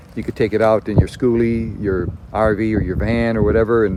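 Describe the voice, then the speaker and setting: There is noticeable background noise as a man talks at a moderate pace. His pitch is medium for a man. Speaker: camping video maker. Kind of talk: tutorial. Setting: outdoors. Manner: loud; casual, halting with fillers.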